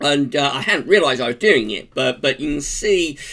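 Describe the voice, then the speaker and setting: A man with an English accent, a bright, sharp tone and very wide pitch swings. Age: 40s. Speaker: vlogger. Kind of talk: casual vlog monologue. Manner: hesitant, many fillers.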